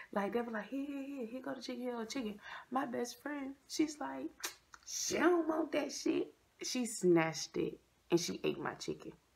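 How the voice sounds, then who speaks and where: The speaker uses very wide pitch swings at a moderate pace. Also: woman, high pitch for a woman. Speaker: vlogger. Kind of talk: casual story time vlog chat. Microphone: phone near.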